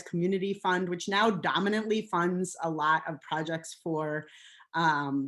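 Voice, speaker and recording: This woman has an American accent and a fairly low pitch. Her pitch variation is ordinary. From New York. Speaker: vegetable farmer. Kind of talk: webinar presentation. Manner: fast.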